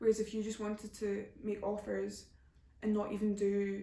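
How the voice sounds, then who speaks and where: Her voice sits at a medium pitch and sounds somewhat breathy as the woman talks. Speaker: YouTuber. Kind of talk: Q&A answering viewer questions. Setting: home video recording, camera flash in eyes. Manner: casual, hesitant with fillers.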